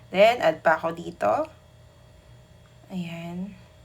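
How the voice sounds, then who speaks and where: Her voice fairly low in pitch and marked by vocal fry, a woman talks at a very slow pace. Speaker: cake decorating instructor. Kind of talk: tutorial voice-over. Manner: sleepy-sounding; casual.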